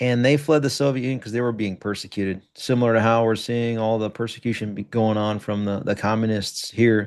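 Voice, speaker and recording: Against a quiet background, a man talks at a moderate pace in a fairly low pitch with fairly even intonation. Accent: American. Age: 40s. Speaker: retired army officer and attorney. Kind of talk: interview.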